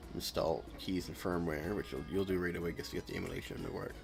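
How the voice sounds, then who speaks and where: Over music in the background, a man with a very deep, low pitch talks at a very fast pace. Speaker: video game streamer. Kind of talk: casual live-stream chat. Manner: poor enunciation.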